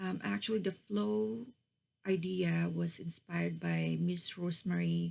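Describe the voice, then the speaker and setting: A woman with a non-native accent. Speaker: crafting YouTuber. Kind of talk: craft tutorial / show-and-tell. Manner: slow, halting with many fillers.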